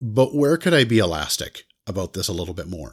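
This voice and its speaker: In a very clean recording with a silent background, a man uses a normal speaking voice with lively intonation. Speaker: podcast co-host. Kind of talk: casual chat.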